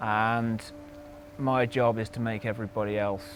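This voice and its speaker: A man speaks with a Yorkshire accent over noticeable background noise. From Yorkshire, northern England. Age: 30s. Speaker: endurance cyclist. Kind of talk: interview.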